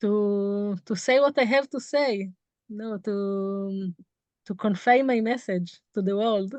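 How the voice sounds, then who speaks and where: Over a quiet background, a woman with an Israeli accent speaks at a very slow pace and medium pitch, with ordinary pitch variation. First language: Hebrew. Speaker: tour guide. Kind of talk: interview. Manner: halting.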